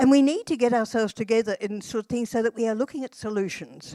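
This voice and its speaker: Speaking very fast with an Australian accent, a woman uses a fairly high pitch with ordinary variation and a dark, mellow tone. The recording is dry and close, with no echo. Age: 80s+. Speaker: social policy academic and activist. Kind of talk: conference panel discussion.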